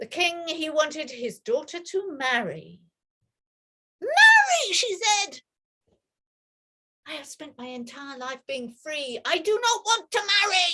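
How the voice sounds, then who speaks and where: Very slowly, a woman projects a raised, bright, sharp voice at an extremely high pitch with very wide pitch swings. Her loudness swings widely, and she leaves long, frequent pauses. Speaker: storyteller. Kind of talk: oral storytelling of a myth. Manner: conversational, engaging with listeners.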